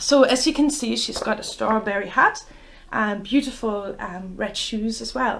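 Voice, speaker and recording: This woman talks at a fairly slow pace with a German accent. Her pitch sits fairly high. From Germany. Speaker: children's bookshop owner, storyteller. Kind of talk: story time reading for children. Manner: hesitant, many fillers.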